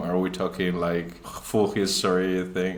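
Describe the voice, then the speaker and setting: Amid noticeable background noise and audible room echo, a man with a Spanish accent speaks in a very deep, low pitch. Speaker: magician. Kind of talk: casual chat. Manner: halting.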